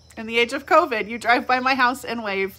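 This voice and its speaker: This woman's voice sits at a high pitch. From California. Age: 40s. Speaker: pastor. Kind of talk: reflective devotional talk. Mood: warm, reflective. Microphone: phone near.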